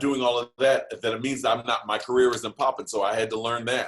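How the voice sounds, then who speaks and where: A man with medium pitch and fairly even intonation, in an ordinary speaking voice. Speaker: bass singer and voiceover artist. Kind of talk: casual conversation on an interview show.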